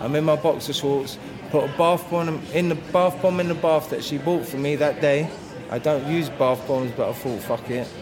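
The speaker has an English accent and talks at a moderate pace with fairly even intonation. Both room echo and background noise are noticeable. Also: man. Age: 40s. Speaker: bereaved partner. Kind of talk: interview testimony.

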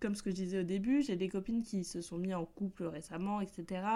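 A woman's medium-pitched voice, dark and mellow in tone, moves at a moderate pace. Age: 20s. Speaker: podcast host. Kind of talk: casual solo chat. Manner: upbeat-sounding.

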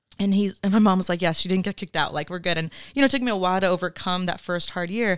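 Talking at a very fast pace in a Californian accent, a woman uses medium pitch with ordinary pitch variation on a very clean recording with a silent background. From Oxnard, California. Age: 30s. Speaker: entrepreneur and investor. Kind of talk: casual interview chat.

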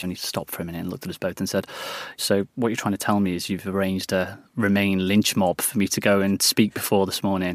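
In a northern English accent, the speaker talks at a very fast pace with monotone, flat intonation. The recording is very clean with a silent background and a dry, close sound with no echo. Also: man. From northern England, West Lancashire. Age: 30s. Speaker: former government communications director. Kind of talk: interview. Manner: hesitant, with many fillers.

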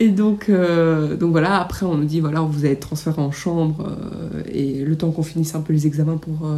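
A woman's very deep, low voice with fairly even intonation at a moderate pace, over noticeable background noise. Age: 20s. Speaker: nail technician sharing birth story. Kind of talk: testimony.

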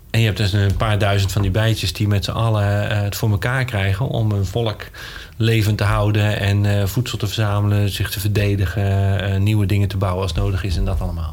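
A man's fairly low voice at a fairly quick pace, with audible room echo and noticeable background noise. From Netherlands. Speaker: scientist. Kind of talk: interview.

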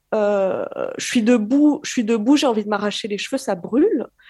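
On a very clean recording over a silent background, a woman speaks in a dark, mellow tone. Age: 20s. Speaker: caller. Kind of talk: testimony.

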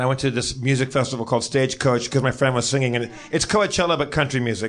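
A man's voice over noticeable background noise. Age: 40s. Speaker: podcast co-host. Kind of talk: live comedy podcast chat. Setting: stage with live audience.

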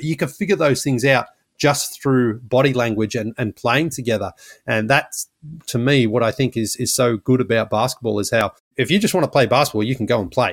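Recorded with a dry, close sound and no echo, a man with an Australian accent talks at a fairly quick pace and a medium pitch. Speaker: basketball podcaster. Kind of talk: interview, casual storytelling. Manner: animated.

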